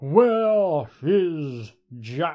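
A man's put-on character voice, pitched fairly high.

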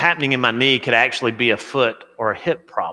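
This man's medium-pitched voice has a bright, sharp tone, a fairly quick pace and ordinary pitch variation, captured on a very clean recording with a silent background. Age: 40s. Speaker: pastor. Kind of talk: sermon.

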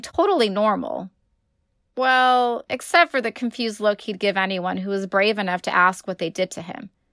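A woman's fairly high, bright and sharp voice with ordinary pitch variation, in a dry, close sound with no echo. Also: very clean recording, silent background. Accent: American. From California. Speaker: author and high school English teacher. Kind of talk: reading aloud own short story.

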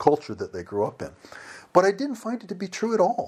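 Very wide pitch swings run through this man's speech, delivered with an American accent. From United States. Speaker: missionary. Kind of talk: interview. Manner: repetitive false starts.

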